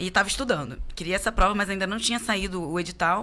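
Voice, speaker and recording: Bright and sharp in tone, a woman talks at a fairly quick pace in a strong carioca accent. The recording is very clean, with a silent background. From Rio de Janeiro, Tijuca (North Zone). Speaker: police chief. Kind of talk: casual interview chat. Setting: studio.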